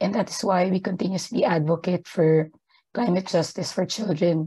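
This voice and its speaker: Over a quiet background, a woman speaks with a dark, mellow tone that is somewhat breathy. She goes at a fairly quick pace with fairly even intonation. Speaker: gender equality advisor at an aid organisation; panelist. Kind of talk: webinar presentation. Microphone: video call.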